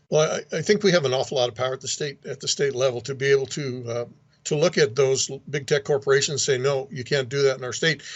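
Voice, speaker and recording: Somewhat breathy and fairly high in pitch, a man talks at a very fast pace with ordinary pitch variation. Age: 60s. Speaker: state legislator. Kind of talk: interview.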